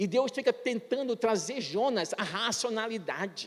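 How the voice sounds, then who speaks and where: A man speaks at a fairly slow pace with a high pitch. His intonation stays fairly even. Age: 60s. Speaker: pastor. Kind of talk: sermon.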